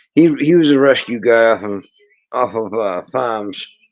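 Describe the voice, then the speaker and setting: Speaking in a strong Maine accent, a man talks at medium pitch. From Maine, New England. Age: 50s. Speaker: lobster fisherman. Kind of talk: casual chat.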